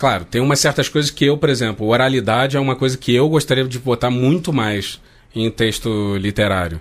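Speaking at a fairly quick pace, a man uses an ordinary speaking voice of medium pitch with ordinary pitch variation. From Rio de Janeiro, Brazil. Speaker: translator. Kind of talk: casual chat.

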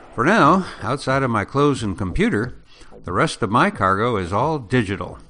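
Using a plain, everyday voice, a man talks at a moderate pace with medium pitch. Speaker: podcast host. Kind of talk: monologue introduction.

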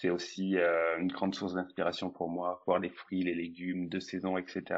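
Very deep and low in pitch, a man's voice comes at a fairly slow pace with monotone, flat intonation. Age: 20s. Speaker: food photographer and stylist. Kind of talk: interview.

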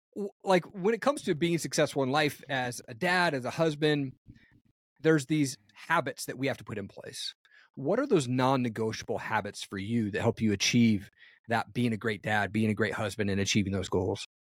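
Recorded very cleanly against a silent background, with a dry, close sound and no echo, a man with a normal speaking voice talks at a fairly quick pace in a medium pitch with lively intonation. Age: 40s. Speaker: podcast host. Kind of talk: interview. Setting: podcast.

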